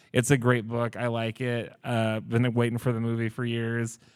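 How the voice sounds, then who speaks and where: On a very clean recording with a silent background, a man talks at a fairly quick pace in an ordinary speaking voice. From Oklahoma. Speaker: library podcast host. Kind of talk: book discussion before live audience. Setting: public library with live audience.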